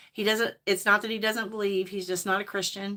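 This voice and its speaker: A bright, sharp female voice with monotone, flat intonation in a very clean recording with a silent background. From Indiana (Hayden, near North Vernon). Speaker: lifestyle vlogger. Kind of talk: casual livestream chat. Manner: rambling, halting.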